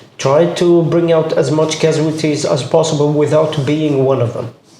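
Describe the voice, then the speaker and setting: A man's fairly high voice moves at a moderate pace, its intonation fairly even, while noticeable background noise and audible room echo fill the recording. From Jordan, Palestinian family. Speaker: combat medic. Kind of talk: interview. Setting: audio-only recording.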